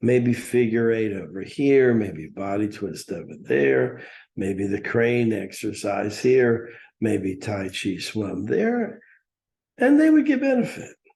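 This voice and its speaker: A man talks at a very slow pace in a dark, mellow tone, his pitch varying in an ordinary way. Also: medium pitch for a man. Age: 60s. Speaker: spiritual teacher.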